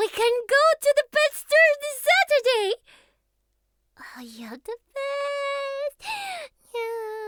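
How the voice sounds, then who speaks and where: A woman's put-on character voice, extremely high-pitched, at a fairly slow pace with long, frequent pauses. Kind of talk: audio roleplay. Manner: affectionate, clingy.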